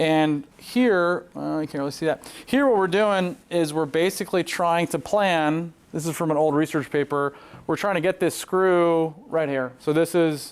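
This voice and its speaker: With a Southern California accent, a man speaks at a fairly slow pace. His pitch varies in an ordinary way. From Southern California (born in Poland). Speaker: neurosurgeon. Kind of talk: conference presentation.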